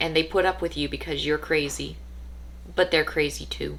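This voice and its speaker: A woman at a moderate pace. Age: 30s. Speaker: vlogger. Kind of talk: personal monologue.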